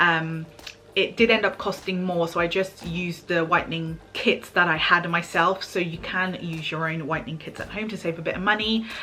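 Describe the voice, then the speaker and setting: Music plays in the background as a woman speaks at a fairly low pitch with fairly even intonation. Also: moderate pace. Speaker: beauty and lifestyle vlogger. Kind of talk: casual vlog talking to camera. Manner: projecting voice for filming.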